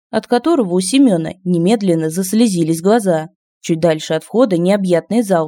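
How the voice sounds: The reading voice sounds natural. Behind it, things are quiet.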